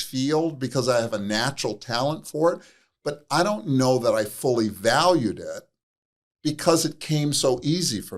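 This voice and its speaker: With lively intonation, a man delivers his words at a moderate pace in an unremarkable speaking voice. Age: 60s. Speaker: addiction counselor and author. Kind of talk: interview.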